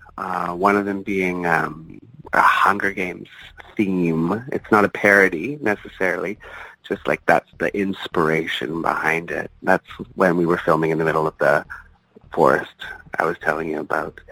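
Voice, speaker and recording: A man's very deep, low voice with a Canadian accent, at a moderate pace and ordinary pitch variation, dry and close with no echo, amid noticeable background noise. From Ontario, Canada. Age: 30s. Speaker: adult film performer. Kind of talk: interview.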